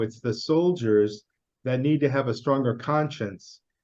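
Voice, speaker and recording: With a Chicago accent, a man talks at a moderate pace in a fairly high pitch, his intonation lively. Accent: American (Chicago). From US Midwest, Chicago. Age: 60s. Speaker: interviewer. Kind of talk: casual interview.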